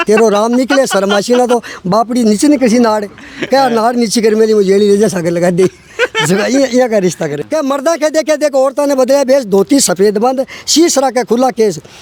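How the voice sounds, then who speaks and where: An extremely high male voice with lively intonation, very even loudness, a moderate pace, and noticeable background noise. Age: 60s. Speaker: villager, widower. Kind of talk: interview.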